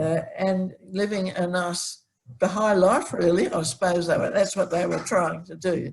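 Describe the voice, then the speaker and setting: With an Australian accent and vocal fry, a woman speaks fairly slowly at a medium pitch, her pitch varying in an ordinary way. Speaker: early community member. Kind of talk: oral history recollection. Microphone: sound problem.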